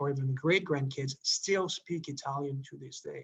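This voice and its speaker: In a Quebec accent, a man speaks at a fairly high pitch. His voice is somewhat breathy. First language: French. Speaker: diplomat. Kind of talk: presentation Q&A. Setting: video call.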